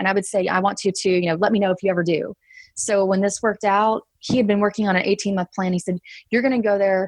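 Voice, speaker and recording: This woman has a slight Texas accent and medium pitch, talking at a very fast pace. Her intonation is monotone and flat, and the sound is dry and close, with no echo. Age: 30s. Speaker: traveler who quit her job. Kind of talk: casual interview chat. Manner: hesitant, many fillers.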